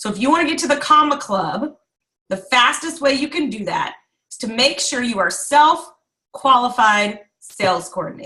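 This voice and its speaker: A woman's raised, projected voice, high and bright, sharp in tone, with lively intonation at a moderate pace. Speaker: direct sales team leader. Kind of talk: online training call.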